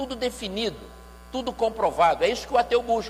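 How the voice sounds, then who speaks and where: A man is speaking. His pace is fairly quick. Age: 60s. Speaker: pastor and music lecturer. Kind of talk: church lecture.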